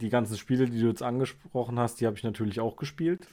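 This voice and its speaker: A man's dark, mellow tone at a fairly quick pace. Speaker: podcast co-host, fantasy fan. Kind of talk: casual chat.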